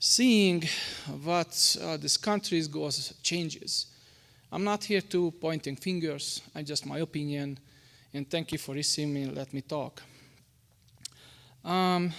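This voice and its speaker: A man with a Hungarian accent speaks at a fairly slow pace, with long, frequent pauses. The recording is very clean, with a silent background. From Hungary. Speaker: public commenter at school board meeting. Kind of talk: public comment speech. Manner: halting, with stumbles and restarts.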